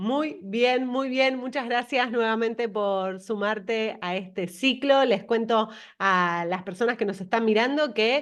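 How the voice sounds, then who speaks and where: With a Rioplatense accent, a woman speaks at a fairly slow pace in a fairly high voice. Her pitch varies in an ordinary way against a quiet background. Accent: Argentine Spanish, Rioplatense. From Argentina. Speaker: interview host. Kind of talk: interview.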